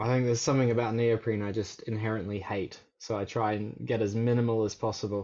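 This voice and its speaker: A man with an Australian accent talks at a very fast pace with hardly any pauses. His intonation is monotone and flat. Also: medium pitch for a man. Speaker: surf coach. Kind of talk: casual chat.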